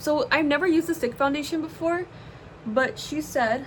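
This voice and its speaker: The speaker has an American accent and lively intonation at a moderate pace. Noticeable background noise runs underneath. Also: woman. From US West Coast, Los Angeles. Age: 20s. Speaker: YouTuber, art student. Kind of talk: casual chat while doing makeup. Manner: casual, rambling with fillers.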